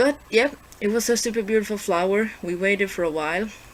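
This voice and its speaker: Fairly quick speech with a non-native accent over noticeable background noise. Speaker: vlogger. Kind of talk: casual vlog. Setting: handheld camera recording. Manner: halting.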